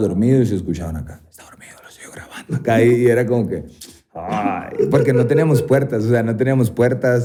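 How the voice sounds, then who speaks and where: His dark, mellow tone carries ordinary pitch variation as the man speaks at a fairly quick pace. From Sonora, Mexico. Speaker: mixed martial arts fighter. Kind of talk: podcast interview answer. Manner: casual, slangy.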